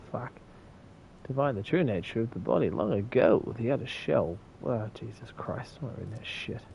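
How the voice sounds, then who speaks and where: A man mumbles at a moderate pace with ordinary pitch variation. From New Zealand. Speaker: game streamer. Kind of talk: casual gaming livestream chat. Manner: mumbling.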